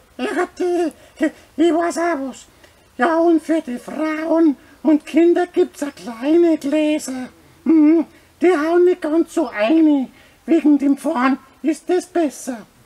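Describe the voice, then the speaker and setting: A man does a cartoonish character voice at an extremely high pitch. He talks at a very slow pace with long, frequent pauses. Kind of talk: comedic puppet skit advertising a brewery festival. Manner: rhyming, jolly.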